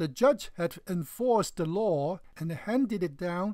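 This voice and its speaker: The speech moves at a very slow pace. The recording is very clean, with a silent background. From China. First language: Chinese. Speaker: religious video commentator. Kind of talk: response video argument.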